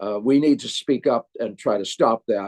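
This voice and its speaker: A man speaks with an American accent at medium pitch and a moderate pace. His dark, mellow tone comes through in a dry, close sound with no echo. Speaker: former US congressman. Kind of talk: webinar panel talk.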